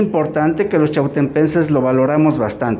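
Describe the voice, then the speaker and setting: A man's voice amid audible room echo and noticeable background noise. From Mexico, Tlaxcala (Santa Ana Chiautempan). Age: 50s. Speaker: painter. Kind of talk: gallery tour talk. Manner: halting.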